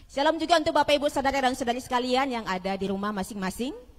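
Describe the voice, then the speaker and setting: Very fast and with lively intonation, a woman talks. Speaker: pastor. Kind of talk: sermon. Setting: church service with congregation, streamed online. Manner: loud, projecting to congregation; animated, conversational.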